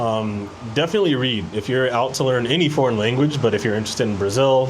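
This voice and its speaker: Over noticeable background noise and audible room echo, a man with an American accent talks at a very fast pace, with medium pitch and ordinary pitch variation. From United States. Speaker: expat video creator. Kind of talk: casual interview chat.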